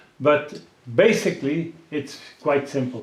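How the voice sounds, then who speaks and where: A man with a Dutch accent and ordinary pitch variation. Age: 70s. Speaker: pigeon racing expert and publisher. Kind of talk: interview. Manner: halting.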